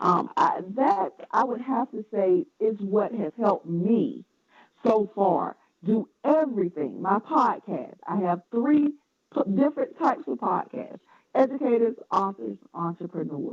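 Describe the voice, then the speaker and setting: In a Southern accent, a woman with a fairly high voice swings her pitch very widely, recorded dry and close with no echo. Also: fairly slow pace. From US South, North Carolina. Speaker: educator, publisher and podcaster. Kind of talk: interview.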